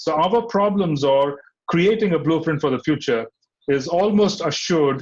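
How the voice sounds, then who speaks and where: Using a normal speaking voice, a man with a fairly high pitch talks at a moderate pace with ordinary pitch variation. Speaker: spiritual teacher. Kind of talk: scripture class lecture.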